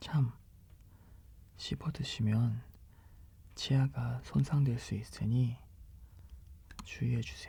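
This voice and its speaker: In a calm tone, a man speaks very slowly, leaving long, frequent pauses. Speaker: ASMR product reader for a health-supplement shop channel. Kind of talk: ASMR product description read-aloud. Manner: soft-spoken, calm.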